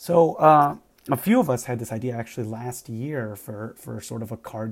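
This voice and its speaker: In a plain, everyday voice, a man talks at a medium pitch and moderate pace. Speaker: ICU doctor and game designer. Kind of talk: personal reflection monologue.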